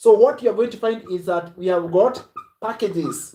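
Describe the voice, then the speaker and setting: Shouting loudly, a man with a high pitch sounds animated, keeping a moderate pace and lively intonation. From Kenya. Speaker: online business coach. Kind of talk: live stream sales pitch. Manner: loud, shouting.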